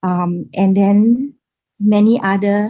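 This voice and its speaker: A woman speaks at medium pitch in a somewhat breathy, dark, mellow voice with fairly even intonation. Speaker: business panelist. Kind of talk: panel discussion.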